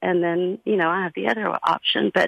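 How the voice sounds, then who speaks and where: Here is a woman with an unremarkable speaking voice at a medium pitch. Her pace is fairly quick. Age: 50s. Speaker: caller. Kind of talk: phone-in call about personal experience.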